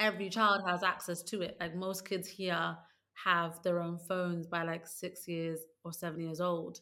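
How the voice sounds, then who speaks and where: A woman with a London accent speaks at a moderate pace, fairly low in pitch, in a bright, sharp tone with monotone, flat intonation. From London, England. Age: 30s. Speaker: author and former teacher. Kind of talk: casual interview.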